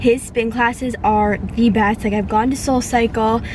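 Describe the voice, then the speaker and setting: A woman speaks in a fairly high voice with fairly even intonation. Noticeable background noise runs underneath. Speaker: vlogger, works in healthcare. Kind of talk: casual vlog talk. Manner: fast.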